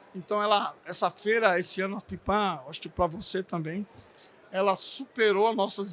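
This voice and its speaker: Raising and projecting his voice, a man speaks at a moderate pace with a high pitch and a bright, sharp tone. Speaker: podcast host for a bakery supply brand. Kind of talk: podcast interview. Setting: recorded at a trade fair. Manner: halting, stumbling over words.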